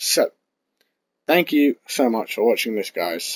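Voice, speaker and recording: This man's speech carries a British accent. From UK. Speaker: gaming YouTuber. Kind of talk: casual gameplay commentary. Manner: annoyed, chatty. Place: home room.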